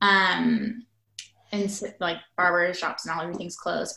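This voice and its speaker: Speaking at a moderate pace, a woman with an American accent has a plain, everyday voice at a medium pitch. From Nebraska. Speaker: political activist. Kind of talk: casual chat.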